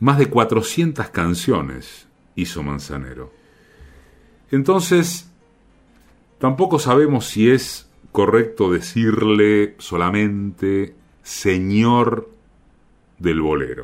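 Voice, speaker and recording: A man speaks very slowly in a Rioplatense accent, his fairly low pitch swinging very widely. Long pauses come often, with music playing in the background. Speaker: radio host. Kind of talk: radio monologue and interview.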